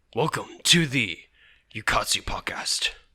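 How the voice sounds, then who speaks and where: A man puts on a raspy character voice at medium pitch, talking at a fairly slow pace. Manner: exaggerated, announcer-style.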